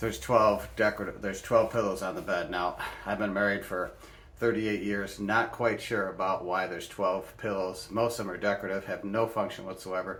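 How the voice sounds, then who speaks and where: With audible room echo, a man speaks at a fairly quick pace in a fairly low voice with fairly even intonation. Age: 60s. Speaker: health and wellness vlogger. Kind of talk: casual explainer vlog. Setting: bedroom at home. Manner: casual with many fillers and restarts.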